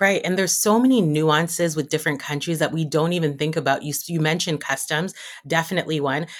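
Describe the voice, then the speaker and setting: The speaker has a Canadian accent and a very fast pace. The recording is very clean, with a silent background. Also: woman. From Toronto, Canada, Jamaican background. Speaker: wedding planner and stylist. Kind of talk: casual interview.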